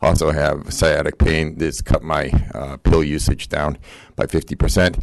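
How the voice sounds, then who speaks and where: In a monotone, flat delivery, a man with a very deep, low pitch speaks at a moderate pace. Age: 60s. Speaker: public commenter, local party official. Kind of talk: public comment at city council. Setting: city council meeting. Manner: halting, many fillers.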